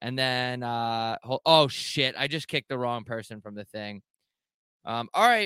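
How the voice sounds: Heard in a dry, close sound with no echo, a man at medium pitch has a clear, smooth tone that is also bright and sharp.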